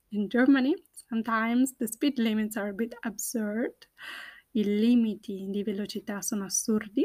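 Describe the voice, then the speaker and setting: On a very clean recording with a silent background, a woman speaks at a fairly high pitch, somewhat breathy. Her intonation is fairly even and her pace fairly slow. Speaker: Italian language teacher podcaster. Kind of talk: language lesson monologue, Italian with English explanations. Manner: slow, deliberate.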